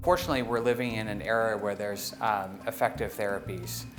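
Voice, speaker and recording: With music in the background, a man speaks at a fairly low pitch with ordinary pitch variation. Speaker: neurology professor. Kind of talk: interview answer. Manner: hesitant, many fillers.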